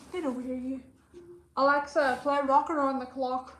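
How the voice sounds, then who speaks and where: Through noticeable background noise comes a woman's high-pitched voice. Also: big swings in loudness. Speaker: vlogger. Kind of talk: casual vlog talk. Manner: fast; animated.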